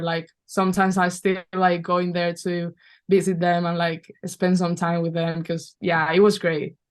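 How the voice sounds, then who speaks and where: A woman with a Spanish accent speaks at a moderate pace in a fairly low pitch. Her intonation is monotone and flat, and the background is quiet. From Spain, Valencia. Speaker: basketball player. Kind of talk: podcast interview.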